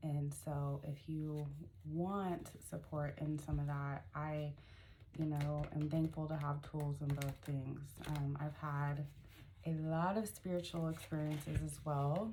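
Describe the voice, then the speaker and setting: Somewhat breathy and very deep, a woman's low voice moves at a fairly slow pace with fairly even intonation, and audible room echo surrounds it. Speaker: spiritual mentor and life coach. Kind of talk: casual vlog monologue. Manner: hesitant, many fillers.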